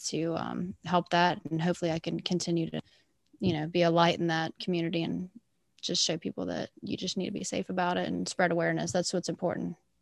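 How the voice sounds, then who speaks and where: On a very clean recording with a silent background, a woman talks at a fairly quick pace, her fairly low-pitched voice showing vocal fry. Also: dry, close sound with no echo. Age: 20s. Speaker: sober festival-goer and advocate. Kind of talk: interview. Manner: animated.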